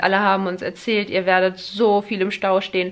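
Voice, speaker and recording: Speaking fairly quickly, a woman delivers her words. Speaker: vlogger. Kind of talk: casual vlog chat. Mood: impressed, chatty. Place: home room. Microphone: phone near.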